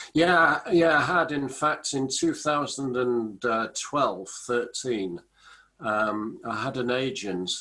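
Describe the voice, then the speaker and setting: With an English accent, this voice has a bright, sharp tone and lively intonation. The pace is very slow. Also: man. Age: 60s. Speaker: business author and small business champion. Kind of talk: casual interview.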